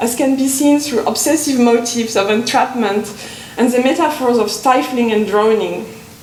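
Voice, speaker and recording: Over noticeable background noise and audible room echo, a woman talks at a moderate pace in a high voice with ordinary pitch variation. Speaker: conference speaker, literature academic. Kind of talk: academic conference talk. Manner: halting, with hesitations.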